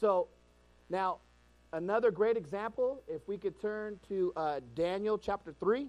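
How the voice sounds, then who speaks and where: His pitch high with ordinary pitch variation, a man speaks at a fairly slow pace. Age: 40s. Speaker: preacher. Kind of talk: sermon.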